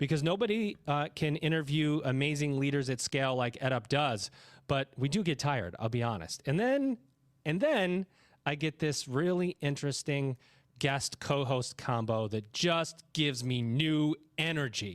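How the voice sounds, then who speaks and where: A man talks at a moderate pace with an unremarkable speaking voice, fairly high in pitch and lively in intonation. The sound is dry and close with no echo, and the loudness is very even. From New York. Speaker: podcast host. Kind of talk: podcast interview.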